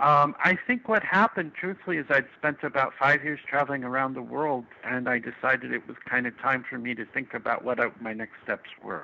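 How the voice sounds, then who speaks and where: A man speaks at a moderate pace. His pitch sits in the middle range. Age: 50s. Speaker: retired nomad blogger. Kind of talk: interview. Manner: halting.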